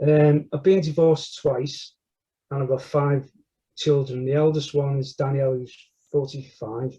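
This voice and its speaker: Fairly high-pitched for a man, this voice has a Liverpool accent and a dark, mellow, somewhat breathy tone. The intonation is monotone and flat. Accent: Scouse. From northern England, Liverpool (Everton). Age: 60s. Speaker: church member interviewee. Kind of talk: testimony interview. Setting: recorded interview.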